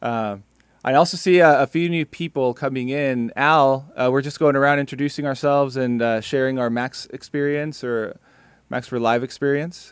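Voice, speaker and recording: A man with an American accent speaks at a moderate pace and a fairly high pitch, his intonation fairly even, in a dry sound with no echo over a quiet background. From South Texas and Mexico. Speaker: music software trainer, meetup co-host. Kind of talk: casual online meetup chat. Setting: video call. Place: studio. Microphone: studio mic.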